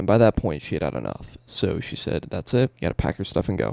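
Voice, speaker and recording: Very clean with a silent background, the recording carries a man's quiet, very deep, low voice with vocal fry and very wide pitch swings. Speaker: streamer and rapper. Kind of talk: personal vlog monologue. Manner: rambling, casual. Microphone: quiet audio, boosted in editing.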